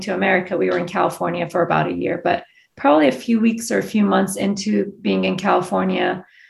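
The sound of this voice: A woman's medium-pitched voice with vocal fry, fairly even intonation, a fairly quick pace, and audible room echo.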